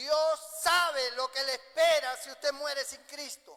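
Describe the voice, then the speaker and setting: A man projects his voice, raising it loudly. His tone is bright and sharp, with an extremely high pitch. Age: 60s. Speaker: pastor. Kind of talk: sermon.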